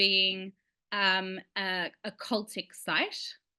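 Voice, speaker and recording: A woman speaks with an Australian accent. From Sydney, Australia. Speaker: licensed tour guide. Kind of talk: online lecture with slides.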